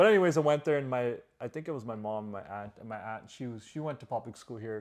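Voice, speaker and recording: Very fast speech with a Canadian accent, big swings in loudness and ordinary pitch variation. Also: man, medium pitch for a man. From Canada, Punjabi immigrant family. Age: 30s. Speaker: podcast co-host. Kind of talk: casual chat.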